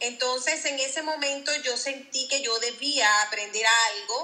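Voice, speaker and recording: A woman with a high pitch and a bright, sharp tone speaks at a very slow pace with ordinary pitch variation. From Venezuela. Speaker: insurance advisor, former house cleaner. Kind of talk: interview.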